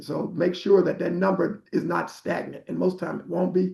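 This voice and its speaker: Speaking at a moderate pace, a man uses a high pitch and an American accent. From Arkansas, US South. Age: 60s. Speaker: prostate cancer survivor and health advocate. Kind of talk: health talk on a group call.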